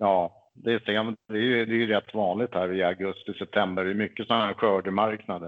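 At a fairly quick pace and with hardly any pauses, a man with a fairly low pitch speaks in a monotone, flat intonation. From Stockholm, Sweden. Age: 50s. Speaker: pagan religious officiant. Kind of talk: interview.

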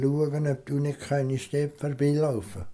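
A man speaks at a very slow pace in a dark, mellow tone. His voice is somewhat breathy. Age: 80s+. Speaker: retired farmer. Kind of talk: interview. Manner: halting; calm.

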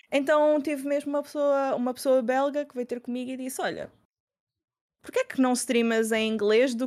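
A woman with a high pitch speaks with fairly even intonation but big swings in loudness. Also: moderate pace. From Portugal, Lisbon. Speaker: university student and streamer. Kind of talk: casual chat.

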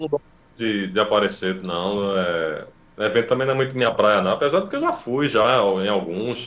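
Here a man speaks with a fairly low pitch and ordinary variation in it. He keeps a moderate pace in a normal speaking voice. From Recife, Brazil. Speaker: webcomic artist, former IT support worker. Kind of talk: casual interview chat.

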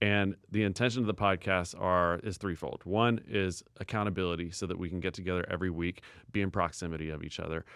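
In a very clean recording with a silent background, a man with an American accent speaks in a very deep, low voice with fairly even intonation. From Portland, Oregon. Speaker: podcast co-host, music entrepreneur. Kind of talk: casual chat.

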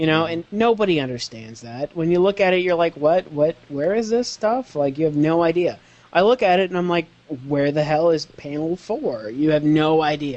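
A man with an ordinary speaking voice uses lively intonation at a moderate pace and a fairly high pitch. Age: 20s. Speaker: anime news writer. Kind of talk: casual chat.

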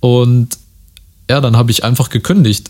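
A man talks at a fairly slow pace and medium pitch. His tone is dark and mellow, and somewhat breathy. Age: 20s. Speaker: podcast host. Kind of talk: solo monologue podcast. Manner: casual, many filler words.

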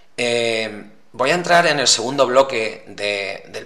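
A man is heard with noticeable background noise. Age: 40s. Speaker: podcast host. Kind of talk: solo monologue podcast. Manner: hesitant, many fillers.

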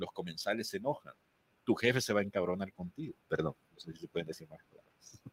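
Very wide pitch swings mark this very fast delivery, heard in a dry, close sound with no echo. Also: man, fairly low pitch for a man. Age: 40s. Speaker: podcast producer and voice coach. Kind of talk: interview, advice on voice and content.

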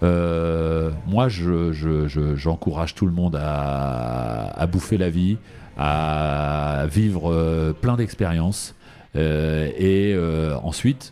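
A man speaks at a very slow pace in a very deep, low pitch, with ordinary pitch variation. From southern France. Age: 50s. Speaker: media and live entertainment producer. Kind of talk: interview.

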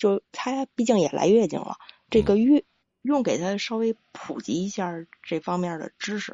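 A woman speaks with a Beijing accent at a medium pitch. Her pace is moderate and her intonation lively. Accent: Beijing Mandarin. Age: 40s. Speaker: caller. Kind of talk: call-in advice conversation. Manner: halting.

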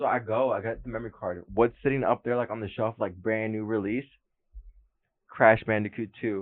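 This man talks at a fairly quick pace and a medium pitch. His intonation stays monotone and flat. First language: Spanish. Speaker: gaming podcast co-host. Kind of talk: casual chat.

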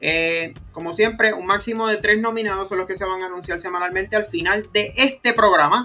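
In a raised, projected voice, a man with a high pitch talks at a fairly quick pace. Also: fairly even intonation, hardly any pauses. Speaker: football podcast host. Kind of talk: casual chat.

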